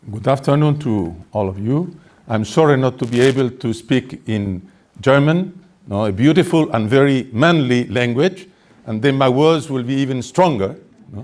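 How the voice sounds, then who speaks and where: With a Spanish accent, this man talks at a medium pitch using lively intonation. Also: moderate pace. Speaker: activist speaker. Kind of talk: press conference statement. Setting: press conference. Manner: formal.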